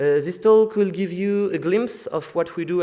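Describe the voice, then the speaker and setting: A man with a French accent, a dark, mellow tone, ordinary pitch variation and a moderate pace, in a very clean recording with a silent background. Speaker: student society member. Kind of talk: welcome speech. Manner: halting.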